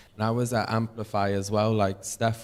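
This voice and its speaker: A man with a fairly low pitch and monotone, flat intonation. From northern England, Warrington. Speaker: singer-songwriter on a music industry panel. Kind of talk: panel talk to an audience.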